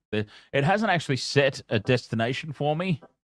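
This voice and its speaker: Recorded very cleanly against a silent background, a man with an Australian accent speaks with lively intonation in a dry, close sound with no echo. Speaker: gaming streamer. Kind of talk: live gameplay commentary. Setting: at home. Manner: loud; casual.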